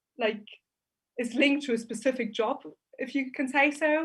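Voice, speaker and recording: A woman with a German accent speaks at a moderate pace with fairly even intonation, in a very clean recording over a silent background. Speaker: business student. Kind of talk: student conference Q&A.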